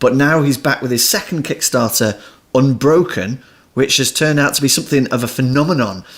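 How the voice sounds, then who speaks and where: A man with a British accent speaks at a very even loudness. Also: medium pitch for a man, ordinary pitch variation. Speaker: podcast host. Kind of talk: podcast interview.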